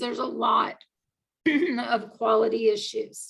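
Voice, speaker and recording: Vocal fry runs through a woman's fairly high-pitched voice. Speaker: agile coach and conference speaker. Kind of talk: conference talk. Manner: halting, many fillers.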